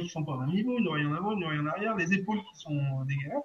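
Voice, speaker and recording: A man's intonation is lively, while noticeable background noise runs behind him. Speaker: energy healer. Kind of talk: guided session. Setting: live video stream. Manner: cheerful, laughing often.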